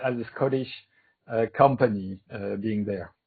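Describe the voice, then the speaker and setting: A man speaks somewhat breathily with a French accent. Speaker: moderator. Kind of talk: panel moderation. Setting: video call. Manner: halting.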